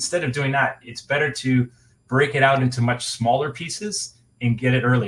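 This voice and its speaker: This man speaks at a medium pitch with a somewhat breathy quality. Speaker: webinar presenter. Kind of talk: webinar presentation. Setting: online webinar. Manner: fast.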